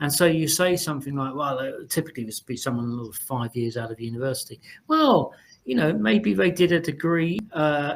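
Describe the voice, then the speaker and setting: A man with an unremarkable speaking voice moves at a moderate pace, his pitch varying in the usual way. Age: 60s. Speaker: communications director presenting a webinar. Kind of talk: webinar panel discussion. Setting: webinar.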